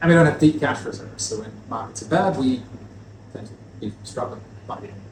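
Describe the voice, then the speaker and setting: A man is speaking. The room echo is audible. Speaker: spirits distributor. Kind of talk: lecture. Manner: fast.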